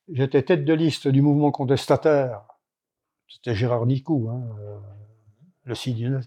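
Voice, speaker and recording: A man with a medium pitch and a dark, mellow tone talks at a moderate pace. He leaves long, frequent pauses against a quiet background. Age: 80s+. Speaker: retired poultry breeder. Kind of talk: interview. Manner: halting.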